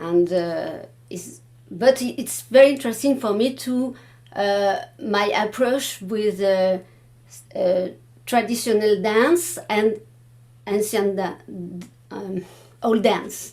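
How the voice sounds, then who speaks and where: A woman with a French accent speaks at a very slow pace, leaving long, frequent pauses. Her fairly high voice shows ordinary pitch variation and big swings in loudness. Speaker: Baroque dance researcher. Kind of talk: panel discussion. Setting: room with live audience. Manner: halting, many hesitations.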